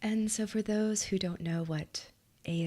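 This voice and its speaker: A woman whispers fairly slowly, her voice somewhat breathy. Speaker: hypnotist and meditation guide. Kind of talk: ASMR live stream. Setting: live stream. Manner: whispering.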